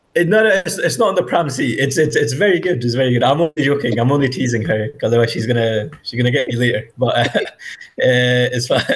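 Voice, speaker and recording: A man with a Scottish accent, medium pitch, lively intonation and a somewhat breathy sound, talking very fast with hardly any pauses. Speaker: Urdu language teacher. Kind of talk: online language class. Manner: repeats words, hesitant fillers.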